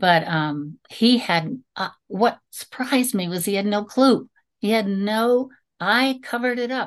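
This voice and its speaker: Against a quiet background, a woman with an ordinary speaking voice talks at a fairly slow pace in a fairly high pitch with lively intonation. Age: 60s. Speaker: teacher and musician. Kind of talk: personal testimony interview.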